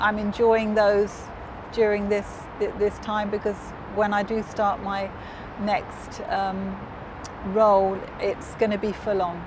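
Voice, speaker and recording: A woman at a medium pitch, in a southern English accent, with a monotone, flat intonation, a very slow pace, long, frequent pauses and noticeable background noise. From southern England (Hove, Brighton). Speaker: business executive. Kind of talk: interview. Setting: on location in Dubai.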